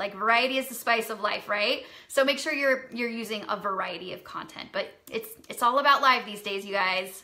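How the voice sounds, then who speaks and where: An unremarkable speaking voice at a fairly quick pace. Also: woman. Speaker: social media marketing coach. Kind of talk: Q&A livestream.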